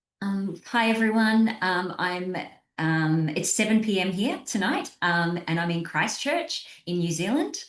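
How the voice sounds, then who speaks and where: In an Australian accent, a woman speaks at a medium pitch with ordinary pitch variation. Her pace is fairly slow, and the room echo is audible. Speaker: somatic coach. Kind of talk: panel discussion. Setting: video call.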